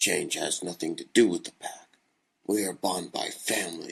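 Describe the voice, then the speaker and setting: At a moderate pace, a man delivers his lines in a put-on character voice. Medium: read story. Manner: outspoken.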